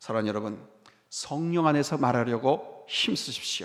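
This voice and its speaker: Here a man is talking. His tone comes out bright and sharp. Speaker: pastor. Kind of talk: sermon. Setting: church. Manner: fast when preaching.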